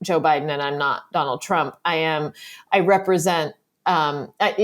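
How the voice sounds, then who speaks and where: In an American accent, a woman talks on a very clean recording where the background is silent. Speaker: magazine writer and political journalist. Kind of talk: casual interview conversation. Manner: loud and animated, gesturing wildly; uncontrolled, unmodulated tone.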